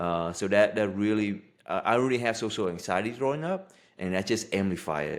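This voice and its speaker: A man speaks at a moderate pace in a Vietnamese accent, his pitch fairly low with ordinary variation. The recording is very clean, with a silent background. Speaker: life coach. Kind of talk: podcast interview.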